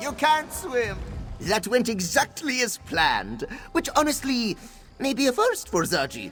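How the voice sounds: Over faint background music, a man performs a put-on character voice at an extremely high pitch, fairly bright in tone, with very wide pitch swings at a fairly slow pace.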